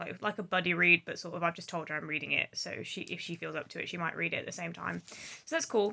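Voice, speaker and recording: With an English accent, a woman speaks at a fairly low pitch. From England. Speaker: book vlogger. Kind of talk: casual vlog talk.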